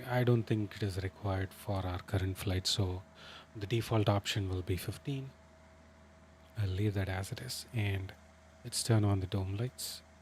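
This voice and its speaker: A man talks at a moderate pace in a fairly low pitch. His voice is somewhat breathy, with fairly even intonation. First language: Tamil. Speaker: flight sim streamer. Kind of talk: live gaming stream commentary. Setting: livestream with chat. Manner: hesitant, many fillers.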